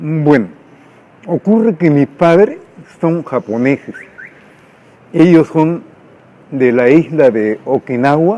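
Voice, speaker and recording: Very slowly and with long, frequent pauses, a man talks in a fairly high voice with a dark, mellow tone and lively intonation. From Peru, Lima. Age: 70s. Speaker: writer. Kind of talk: documentary interview.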